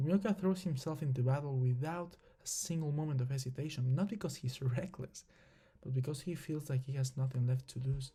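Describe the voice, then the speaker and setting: The pace is fairly quick. The speaker has a non-native accent. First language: not English. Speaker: anime video essayist. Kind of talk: scripted narration; casual talk to viewers. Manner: halting, with fillers.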